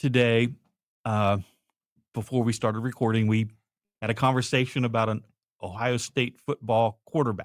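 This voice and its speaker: A man speaks at a moderate pace with long, frequent pauses and very even loudness. The sound is dry and close, with no echo. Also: medium pitch for a man, fairly even intonation. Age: 60s. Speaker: podcast co-host. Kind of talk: casual conversation.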